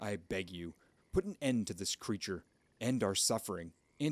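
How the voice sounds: Natural reading voice only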